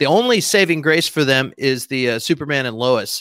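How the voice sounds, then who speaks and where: A man's fairly high, bright and sharp voice in a Texan accent, with lively intonation at a fairly quick pace, dry and close with no echo. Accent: Texan American. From Texas. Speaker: podcast guest, entertainment commentator. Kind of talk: casual chat. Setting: borrowed room at friend's place, video call.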